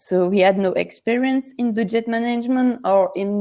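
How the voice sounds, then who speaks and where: Delivered at a moderate pace in a French accent, the voice has a dark, mellow tone and fairly even intonation. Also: woman. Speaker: project co-founder. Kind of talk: speech at an online awards ceremony. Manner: halting, many fillers.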